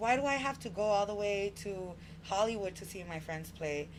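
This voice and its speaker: A woman speaks at a medium pitch, her voice rising and falling by an ordinary amount. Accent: American. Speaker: barbershop owner and community organizer. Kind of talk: podcast interview. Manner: animated.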